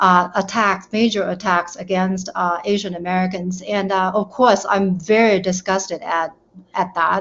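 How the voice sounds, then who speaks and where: Speaking at a moderate pace in a Chinese accent, a woman keeps her medium-pitched voice in monotone, flat intonation. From China. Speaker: panel guest. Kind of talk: panel discussion.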